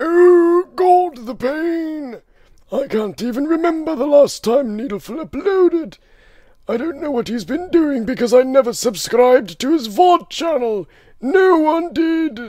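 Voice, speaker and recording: In a put-on character voice, this man pitches himself extremely high. His delivery is fairly slow. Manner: pained, complaining.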